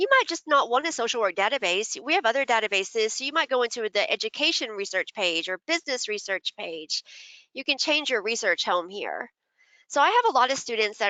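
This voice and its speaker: A woman with an ordinary speaking voice talks at a fairly quick pace. Her intonation is lively. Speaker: university librarian. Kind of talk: webinar tutorial.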